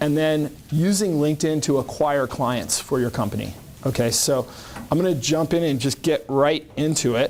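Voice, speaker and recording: A man's fairly high voice at a moderate pace, with ordinary pitch variation and very even loudness, amid noticeable background noise. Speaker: LinkedIn marketing consultant. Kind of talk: presentation to a business group.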